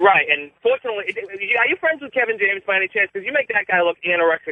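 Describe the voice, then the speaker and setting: A man with an American accent talks at a very fast pace, with a high pitch and lively intonation. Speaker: caller. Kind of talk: prepared comedic roast. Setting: phone call.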